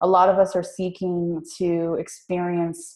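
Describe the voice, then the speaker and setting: In a Spanish accent, a woman talks very slowly at medium pitch, her tone dark and mellow. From Puerto Rico. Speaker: business coach. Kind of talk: interview.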